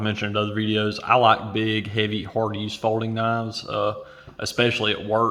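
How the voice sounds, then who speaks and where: Noticeable background noise runs under the recording. A man speaks at a moderate pace and medium pitch. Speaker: knife reviewer. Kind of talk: product review. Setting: at home at night. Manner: quiet, hushed.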